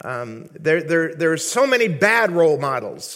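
Speaking at a fairly slow pace, the man has a high-pitched voice. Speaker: visiting preacher. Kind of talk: sermon. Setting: church.

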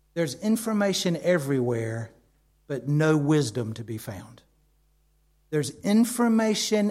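Somewhat breathy and dark, mellow in tone, a man with a fairly high pitch talks at a fairly slow pace with very wide pitch swings. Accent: American. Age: 50s. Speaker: preacher. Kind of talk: sermon.

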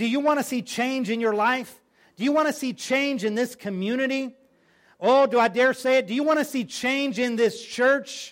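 A man's extremely high voice, animated in tone with ordinary pitch variation, at a moderate pace on a very clean recording with a silent background. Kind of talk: preacher's sermon to a live congregation, with call-and-response. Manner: animated, emphatic and rhetorical, urging the audience to respond; repeats phrases for emphasis, builds up in a rhythmic preaching cadence.

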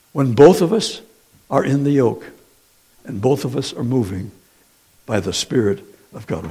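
Very wide pitch swings in a man's somewhat breathy, fairly high voice. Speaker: preacher. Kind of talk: sermon. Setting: church. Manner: animated, call-and-response; teacherly, Q&A style.

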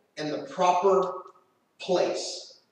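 Here a man speaks at a high pitch in an animated tone. Audible room echo colors the sound. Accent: American. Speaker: preacher. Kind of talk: sermon.

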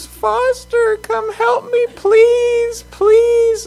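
An extremely high-pitched, put-on character voice speaks. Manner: pitiful pleading.

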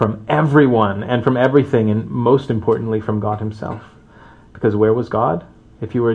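The text is read aloud in a natural voice.

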